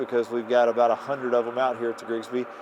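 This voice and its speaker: Noticeable noise fills the background. Over it, a man speaks very rapidly. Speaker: hunting show host. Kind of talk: outdoor vlog narration. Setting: outdoors. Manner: animated.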